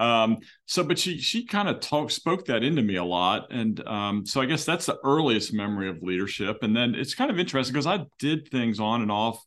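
Speaking with an American accent, a man at medium pitch makes very wide pitch swings. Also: fairly quick pace, hardly any pauses. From Philadelphia, US. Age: 50s. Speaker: law firm CEO. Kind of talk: interview.

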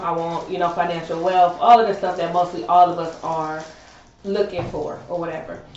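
A woman's fairly low, fairly quick voice with fairly even intonation, audible room echo and noticeable background noise. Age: 30s. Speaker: podcast co-host. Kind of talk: casual chat.

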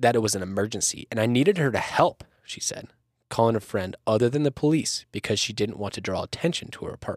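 An unforced reading voice set against a hushed background

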